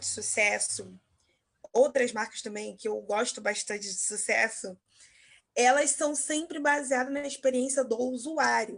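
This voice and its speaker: A woman with a high pitch and ordinary pitch variation talks fairly slowly. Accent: Carioca. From Rio de Janeiro, Zona Norte. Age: 20s. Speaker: marketing entrepreneur. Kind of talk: interview.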